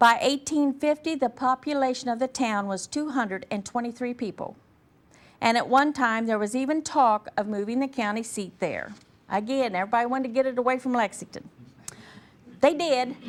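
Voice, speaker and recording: The woman has a high pitch and an American accent, talking at a fairly quick pace with ordinary pitch variation. The recording is very clean, the background silent. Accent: regional accent others notice. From southern Indiana. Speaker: local historian. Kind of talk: lecture. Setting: museum presentation to audience.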